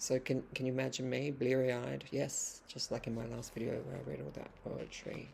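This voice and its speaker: Someone with an Australian accent speaks with hardly any pauses. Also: moderate pace. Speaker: vlogger and poet. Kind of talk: casual vlog monologue. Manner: hesitant, many fillers and restarts.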